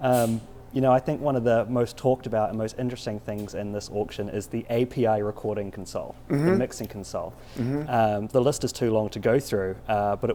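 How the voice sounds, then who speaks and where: Fairly even intonation comes through over noticeable background noise. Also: man. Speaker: entertainment journalist. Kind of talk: interviewer questions.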